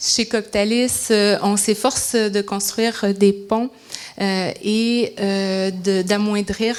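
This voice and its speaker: A woman speaks at a very slow pace in a medium pitch, her intonation flat and monotone, with noticeable background noise behind her. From Quebec. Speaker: business development executive. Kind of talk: panel discussion.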